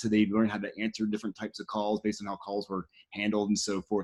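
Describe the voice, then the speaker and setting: On a very clean recording with a silent background and a dry, close sound with no echo, a man speaks at a fairly quick pace in a fairly low pitch. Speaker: tech podcast host. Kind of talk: interview. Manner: fast; animated.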